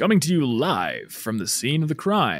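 A man puts on a character voice at a fairly high pitch. His pitch swings very widely. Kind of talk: enunciated, broadcast. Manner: presenter-like, theatrical.

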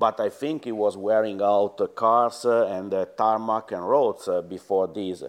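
Fairly even intonation and a fairly slow pace come through in an Italian accent. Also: man, medium pitch for a man. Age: 50s. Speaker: former rally team boss. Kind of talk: interview. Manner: halting.

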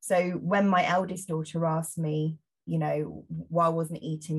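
Somewhat breathy, a woman with an English accent speaks at a very deep, low pitch. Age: 30s. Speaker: journalist and body image campaigner. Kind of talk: interview conversation.

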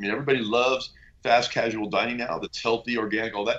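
Speaking at a very fast pace, a man with an American accent keeps a fairly even intonation. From US West Coast (Bay Area). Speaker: venture capitalist. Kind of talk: interview.

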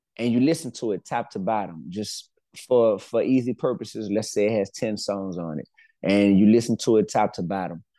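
Over a quiet background, a man with a New Orleans accent speaks at a medium pitch in a dark, mellow tone. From New Orleans, Louisiana. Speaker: rapper and educator. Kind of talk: interview.

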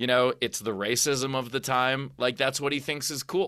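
On a very clean recording with a silent background, a man at medium pitch speaks in a bright, sharp tone. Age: 40s. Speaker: comedian and author. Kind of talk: casual chat.

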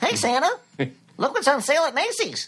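This is a put-on character voice with a high pitch. It moves at a fairly quick pace with very wide pitch swings.

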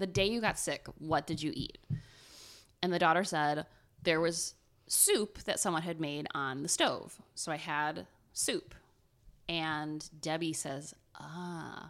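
Very slow and marked by long, frequent pauses, a woman's fairly low voice with an Ohio accent keeps a fairly even intonation on a very clean recording with a silent background. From Ohio, US Midwest. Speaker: podcast co-host. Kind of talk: casual chat, storytelling.

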